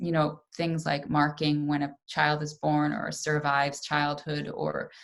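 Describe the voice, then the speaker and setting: Her delivery is fairly slow, with flat, monotone intonation. A woman with an American accent speaks in a very deep, low voice. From New York, US. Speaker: artist and papermaker. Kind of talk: pre-recorded presentation. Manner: casual, with frequent fillers.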